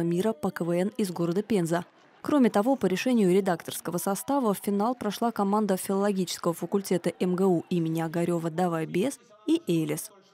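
Dark and mellow in tone, a woman talks at a fairly quick pace, the sound dry and close with no echo. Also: very even loudness. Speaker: TV news reporter. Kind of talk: news report narration.

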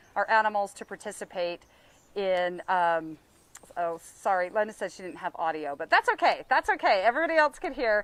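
Talking at a fairly quick pace, a woman uses very wide pitch swings and big swings in loudness, with a dry sound with no echo. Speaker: zoo livestream host. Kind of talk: casual livestream hosting. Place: open country. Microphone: phone near.

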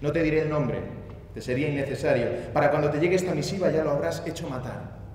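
A man speaking fairly quickly with fairly even intonation, amid audible room echo and light background noise. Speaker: actor giving a dramatic reading. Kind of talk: theatrical monologue reading. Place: stage. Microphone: headset.

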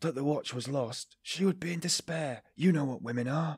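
Putting on a character voice, a man sounds shaky at a fairly high pitch, moving at a moderate pace with ordinary pitch variation. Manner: trembling voice.

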